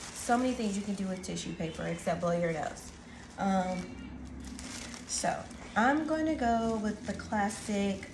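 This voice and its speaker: Soft-spoken and fairly slow with lively intonation, the voice comes through audible room echo and noticeable background noise. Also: woman, medium pitch for a woman. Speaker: teacher and craft video host. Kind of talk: tutorial. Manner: soft-spoken, talking quietly; casual, filler-heavy.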